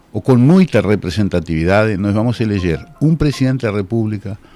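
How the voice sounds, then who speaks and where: A man talks in a fairly low pitch. Music plays in the background. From Uruguay. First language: Spanish (speaking Portuguese). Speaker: law professor. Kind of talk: radio interview. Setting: radio studio, simulcast on TV.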